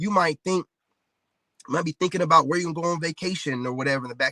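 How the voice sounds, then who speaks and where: A man's bright, sharp, animated voice, high in pitch with ordinary pitch variation, at a very fast pace in a dry, close sound with no echo. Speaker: livestream commentator. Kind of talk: live stream monologue.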